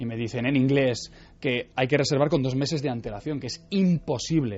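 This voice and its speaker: Lively intonation in a man's fairly high voice. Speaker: Leonardo da Vinci expert guest. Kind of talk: radio interview. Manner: fast.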